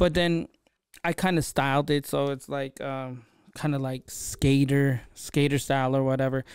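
Someone speaks at a fairly slow pace with a Filipino accent, the sound dry with no echo and the background quiet. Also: man. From Philippines. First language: Tagalog. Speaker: podcast host. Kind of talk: casual solo podcast monologue. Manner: casual, conversational. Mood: relaxed, reflective, lightly humorous. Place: studio. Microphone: studio mic.

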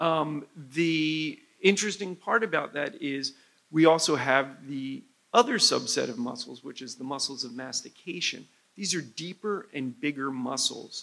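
Speaking with an American accent, a man has a fairly high pitch, a bright, sharp tone, lively intonation and big swings in loudness. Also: moderate pace. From New Jersey. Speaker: head and neck surgeon. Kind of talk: medical lecture. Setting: conference stage with audience. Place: hall. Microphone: lapel.

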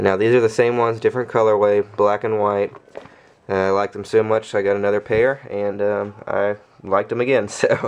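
A man's fairly low voice, fairly quick, with monotone, flat intonation. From Louisiana. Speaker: YouTuber reviewing soccer cleats. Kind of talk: casual product review video. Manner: casual, many fillers and hesitations. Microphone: phone near.

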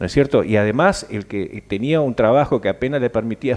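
A fairly quick pace with ordinary pitch variation. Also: man. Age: 60s. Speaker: senator. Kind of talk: interview. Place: studio. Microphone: headset.

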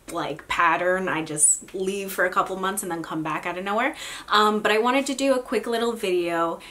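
Over noticeable background noise, a woman speaks at a medium pitch and a fairly quick pace, with ordinary pitch variation. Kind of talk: casual talk to camera. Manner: casual, chatty.

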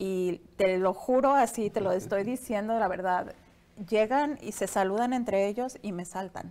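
A woman at a fairly slow pace with a slight Latin American accent. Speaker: entrepreneur; interview guest. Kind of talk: interview. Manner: halting, many fillers. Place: studio. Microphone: lapel.

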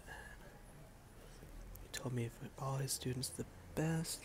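A soft-spoken voice comes through over noticeable background noise. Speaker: silk painter. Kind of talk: ASMR soft-spoken talk to camera while painting. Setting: home room with outdoor noise. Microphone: phone near.

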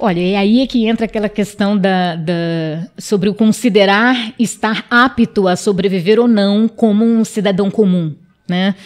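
The speaker is a woman with fairly even intonation. The background is quiet. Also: fairly slow pace, hardly any pauses. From Amapá, northern Brazil (Wayampi village); Amapá, Brazil. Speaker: interview guest. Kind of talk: interview. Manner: hesitant, many fillers. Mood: earnest, sometimes smiling. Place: studio. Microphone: studio mic.

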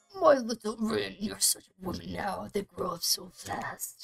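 A woman puts on a character voice. It sounds raspy and moves at a moderate pace. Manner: pompous, grumpy.

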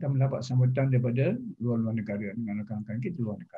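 Against a quiet background, a man with a Malaysian accent speaks in a somewhat breathy voice. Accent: Malaysian Malay. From Selangor, Malaysia. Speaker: retired professor. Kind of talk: formal interview. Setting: video call. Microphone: video call.

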